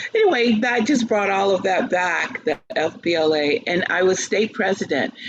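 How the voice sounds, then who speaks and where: Over noticeable background noise, a woman with an American accent speaks at a medium pitch and moderate pace with very even loudness. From US South. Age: 60s. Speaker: opera singer and teacher. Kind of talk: interview.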